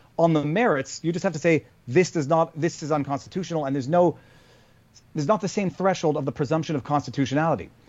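A man with a Canadian accent at a very fast pace. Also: fairly high pitch for a man, ordinary pitch variation. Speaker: lawyer and YouTuber. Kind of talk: casual interview conversation. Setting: remote call.

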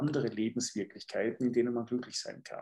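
A man's dark, mellow tone carries through his very fast delivery. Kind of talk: interview.

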